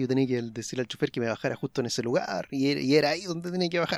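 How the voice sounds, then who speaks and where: In a Chilean accent, the speaker goes at a very fast pace with ordinary pitch variation. Music plays in the background, and the sound is dry and close with no echo. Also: man. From Chile, Araucanía region. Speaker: podcast co-host. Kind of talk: casual chat.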